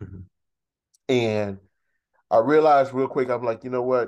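The background is quiet for this man with an American accent. His pitch is medium, with ordinary variation. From Texas. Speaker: university track and field head coach. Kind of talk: interview. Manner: halting.

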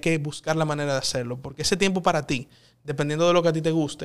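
A man's very fast speech at a fairly high pitch with fairly even intonation, on a very clean recording with a silent background. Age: 30s. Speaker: politician, congressman. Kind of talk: interview.

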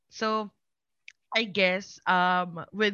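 A woman at medium pitch speaks with a Filipino accent. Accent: Filipino English, Taglish code-switching. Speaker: content creator. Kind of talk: casual chat. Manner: loud; animated.

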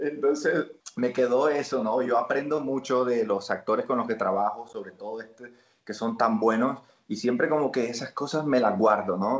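A man talks at a moderate pace in a plain, everyday voice. His pitch sits in the medium range, with ordinary pitch variation. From Colombia, Barranquilla (Caribbean coast). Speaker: actor. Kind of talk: casual interview chat.

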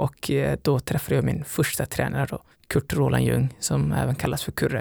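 This man speaks with a Somali accent. The sound is dry and close, with no echo. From Somalia, raised in Sweden from age 11. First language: Somali (speaking Swedish). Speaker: elite distance runner. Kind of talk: interview.

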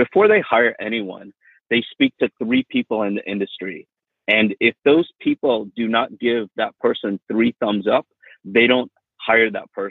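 This man talks at a moderate pace in a plain, everyday voice with an American accent, medium pitch and ordinary pitch variation. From Miami, Florida. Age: 40s. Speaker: real estate agent. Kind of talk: interview.

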